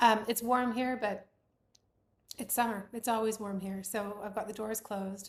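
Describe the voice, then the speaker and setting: Somewhat breathy and medium in pitch, a woman speaks at a moderate pace in a monotone, flat way. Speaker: knitwear designer. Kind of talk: casual podcast chat. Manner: hesitant with fillers.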